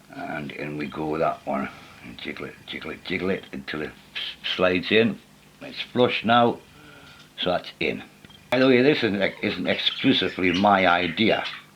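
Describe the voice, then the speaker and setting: A man speaks at a moderate pace with a very deep, low pitch, lively intonation and big swings in loudness. Long, frequent pauses break up his speech over noticeable background noise. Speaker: model railway hobbyist. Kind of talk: how-to tutorial talk to camera.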